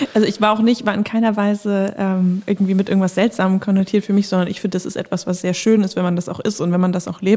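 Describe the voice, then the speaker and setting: A woman talks at a very fast pace with hardly any pauses. Her medium-pitched voice stays monotone and flat. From northern Germany (Bremen/Lower Saxony). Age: 20s. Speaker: young politician. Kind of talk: casual chat. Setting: studio.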